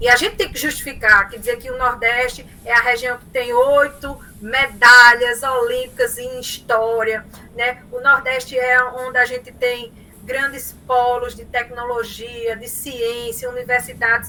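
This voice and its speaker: A woman with a strong Paraíba accent speaks in a high pitch with a bright, sharp tone. Her pace is fairly slow, and her loudness swings widely. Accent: Paraíba northeastern Brazilian accent, strong. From Paraíba, northeastern Brazil. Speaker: professor. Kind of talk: lecture. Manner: animated.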